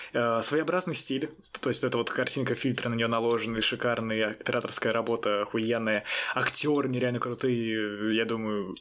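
Noticeable background noise sits behind the voice. Its loudness stays very even and its intonation fairly even. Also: man, medium pitch for a man, moderate pace. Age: young. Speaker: film podcast co-host. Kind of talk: casual chat.

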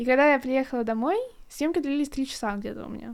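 This woman's high-pitched voice has ordinary pitch variation and comes through on a very clean recording with a silent background. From Russia, Kronstadt (St Petersburg area). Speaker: podcast co-host, student. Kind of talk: casual chat.

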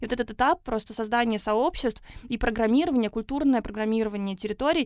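This is a normal speaking voice at a fairly quick pace, in a very clean recording with a silent background. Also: woman. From Russia, Tatarstan (Naberezhnye Chelny). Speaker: urban education program producer. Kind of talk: podcast interview. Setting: studio.

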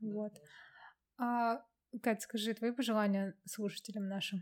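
The recording is very clean, with a silent background. A woman speaks at a moderate pace in a fairly high, monotone, flat voice. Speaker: podcast host. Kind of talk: casual interview chat.

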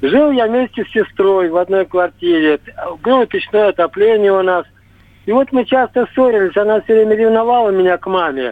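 Pausing long and often, a man with a high pitch talks with ordinary pitch variation. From Russia, Tver. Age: 70s. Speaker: caller. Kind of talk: testimony. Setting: phone call.

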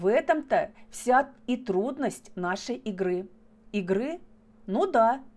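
A natural voice reading aloud, intonation lively

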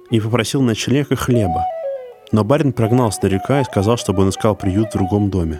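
Over music in the background, a man with a medium-pitched voice talks at a fairly quick pace with lively intonation. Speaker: podcast host. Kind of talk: horror storytelling narration. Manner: measured, suspenseful storyteller pacing; grim, ominous tone building dread.

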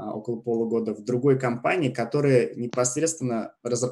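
Fairly even in intonation, a man talks at medium pitch in a plain, everyday voice. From Russia. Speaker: e-commerce platform expert. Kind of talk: casual interview. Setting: remote call from Canada.

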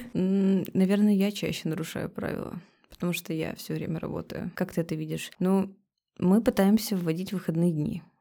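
A woman's tone is dark and mellow, at a moderate pace. The recording is very clean, with a silent background. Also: medium pitch for a woman. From Russian Far East. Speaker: cafe co-owner. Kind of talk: casual interview chat. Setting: studio with microphones. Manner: animated, colloquial.

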